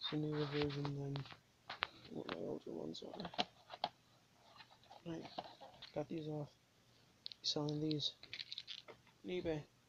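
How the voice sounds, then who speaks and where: Soft-spoken and at a moderate pace, the voice comes through loud background noise with long, frequent pauses. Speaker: scrapping vlogger. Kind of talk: tutorial. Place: home room. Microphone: phone near.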